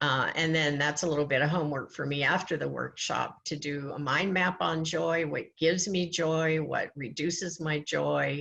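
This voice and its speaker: A woman talks at a moderate pace with hardly any pauses and vocal fry. Her very deep, low pitch holds fairly even intonation. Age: 70s. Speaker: workshop leader. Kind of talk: interactive workshop.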